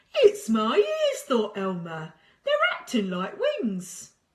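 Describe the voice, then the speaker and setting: A put-on character voice from a woman, fairly high in pitch and at a very slow pace. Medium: read story. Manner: playful, cheeky.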